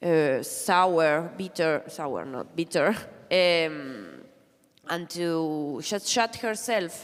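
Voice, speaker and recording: Spoken at a very slow pace in a Spanish accent, the voice shows ordinary pitch variation. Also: woman, fairly low pitch for a woman. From Argentina. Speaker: comic artist. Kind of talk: panel discussion. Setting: stage with audience.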